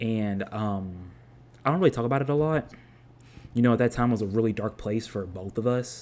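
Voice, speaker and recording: The speech moves at a fairly quick pace with ordinary pitch variation. Long pauses come often. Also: man, medium pitch for a man. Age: 20s. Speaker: podcast host. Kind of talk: casual monologue. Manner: rambling, many fillers.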